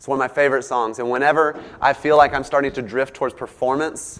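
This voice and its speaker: A man speaks with a slight Southern US accent. His pace is fairly quick. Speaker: preacher giving a sermon. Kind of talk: sermon. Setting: church with congregation. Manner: animated when excited.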